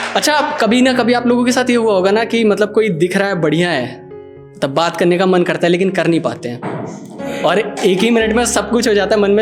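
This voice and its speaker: With music in the background, a man speaks in a high pitch with lively intonation and hardly any pauses. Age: young. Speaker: poet. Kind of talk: live spoken-word poetry performance with casual audience banter.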